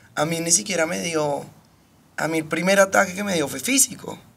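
Noticeable background noise sits behind this speaker. She is a woman with a fairly low pitch. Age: 30s. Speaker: podcast guest. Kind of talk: casual chat. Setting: studio.

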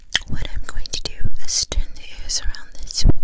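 A soft-spoken woman whispers at a moderate pace. Loud background noise fills the recording. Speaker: ASMR creator. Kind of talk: soft-spoken ASMR tutorial. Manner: soft intimate ASMR whisper. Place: home room. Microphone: studio mic.

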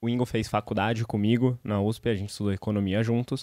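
Dry sound with no echo and a quiet background frame a man's dark, mellow tone, delivered at a fairly quick pace with fairly even intonation. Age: 30s. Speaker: startup founder and CEO; guest. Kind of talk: podcast interview; interview answer. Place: studio. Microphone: studio mic.

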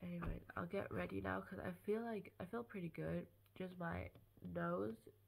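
There is light background noise as a woman speaks in a nasal voice. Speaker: vlogger. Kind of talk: casual vlog chat. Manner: congested, nasal, sore-throated sick voice. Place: home room. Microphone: phone near.

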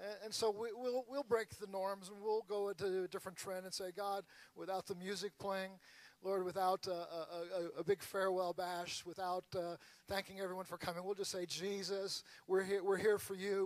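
Speaking at a moderate pace, a man with a high pitch delivers monotone, flat intonation in a dry sound with no echo. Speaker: pastor. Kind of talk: prayer. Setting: church with audience. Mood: earnest, prayerful. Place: church. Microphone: handheld.

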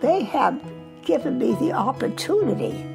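Clear music plays in the background as the speaker goes at a fairly slow pace. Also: woman. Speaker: retirement community resident. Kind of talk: interview answer. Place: home room.

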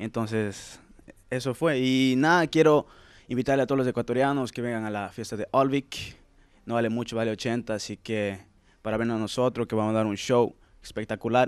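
Speaking at a moderate pace, a man keeps a fairly even intonation in a dry sound with no echo. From Latin America, childhood until 7, then Sweden. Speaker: singer; interviewee. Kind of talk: casual interview. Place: hall. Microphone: handheld.

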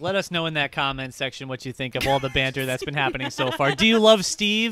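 A man talks at a fairly quick pace. The sound is dry, with no echo. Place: home room. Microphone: studio mic.

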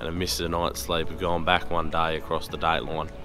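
Clear music plays behind a man who talks at a very fast pace in a very deep, low pitch, with a dry sound and no echo. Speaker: travel vlogger. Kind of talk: casual vlog chat. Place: station. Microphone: phone near.

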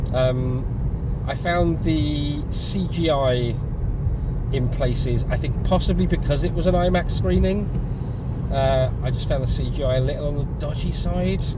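A man's fairly slow speech with long, frequent pauses, dry with no echo, over loud background noise. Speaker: passenger reviewing a film. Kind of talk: casual vlog chat. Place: car. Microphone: phone near.

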